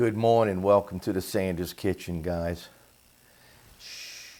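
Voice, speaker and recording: Soft-spoken and very slow, a man talks with a very deep, low pitch, a dark, mellow tone and ordinary pitch variation on a very clean recording with a silent background. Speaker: home cooking channel host. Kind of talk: casual kitchen tutorial. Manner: soft-spoken, talking low.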